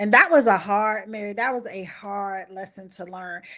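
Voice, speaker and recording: Against a quiet background, a woman with a Southern US accent speaks at a medium pitch and a fairly slow pace with fairly even intonation. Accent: Southern US (Georgia). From US South, Valdosta, Georgia. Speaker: anthology co-author, marriage ministry leader. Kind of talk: interview on a live-streamed book launch. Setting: live stream.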